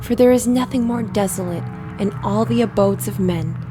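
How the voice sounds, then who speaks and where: Music playing behind a woman speaking at a moderate speed. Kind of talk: sleep story.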